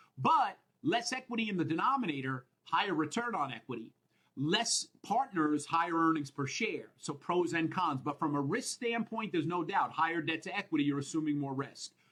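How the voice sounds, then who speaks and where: With a Minnesotan accent and an energetic tone, this voice moves at a moderate pace with lively intonation. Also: man, high pitch for a man. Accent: Minnesota. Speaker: accounting exam instructor. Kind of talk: lecture. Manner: energetic, conversational.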